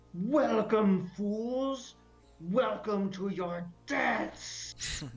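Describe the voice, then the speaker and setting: A put-on character voice speaks at middle pitch and a very slow pace. Faint music plays in the background. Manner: menacing, gloating.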